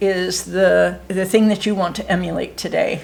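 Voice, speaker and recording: A woman's speech comes through with clearly audible noise behind it. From US Midwest, Ohio. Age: 70s. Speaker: interviewer. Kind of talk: casual interview.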